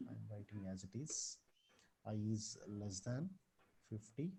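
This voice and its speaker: A dark, mellow tone and a somewhat breathy quality mark this man's speech. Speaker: computer science teacher. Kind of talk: online programming tutorial. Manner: soft-spoken.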